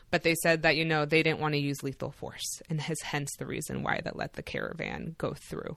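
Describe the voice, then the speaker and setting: A woman's very deep, low voice with vocal fry, fairly quick and flat in a monotone, with hardly any pauses. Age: 30s. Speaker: immigration attorney and law professor. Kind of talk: interview.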